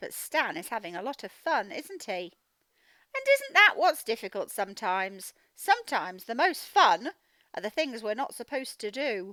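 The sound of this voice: A woman speaks at a moderate pace in a fairly high pitch with big pitch swings and a bright, sharp tone. The sound is dry and close, with no echo.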